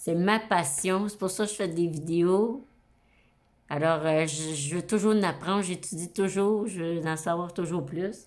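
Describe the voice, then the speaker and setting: A woman speaks in a Quebec accent. Her pitch is fairly low. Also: ordinary pitch variation, fairly slow pace. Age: 60s. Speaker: astrology YouTuber. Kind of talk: casual monologue to camera. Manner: hesitant, many fillers.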